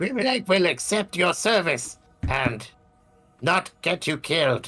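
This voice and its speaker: Over music in the background, a man uses a put-on character voice at a high pitch and a fairly slow pace. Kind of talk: tabletop roleplaying game session, in-character talk.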